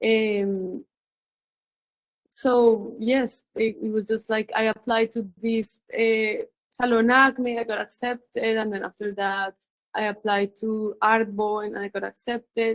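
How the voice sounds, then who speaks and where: The speaker has a Colombian accent and a fairly slow pace. The sound is dry and close, with no echo. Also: woman. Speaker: visual artist. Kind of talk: interview. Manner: halting.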